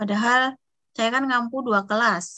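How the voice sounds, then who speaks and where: A woman's fairly high, bright, sharp voice at a fairly slow pace, with ordinary pitch variation against a quiet background. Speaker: university lecturer. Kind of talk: online lecture. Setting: video call. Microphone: unstable internet connection, audio lag; video call.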